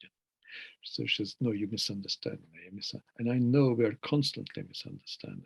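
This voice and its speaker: In a Hungarian accent, a man of medium pitch talks at a fairly quick pace with fairly even intonation and big swings in loudness. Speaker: poet. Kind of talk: interview. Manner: reflective, halting.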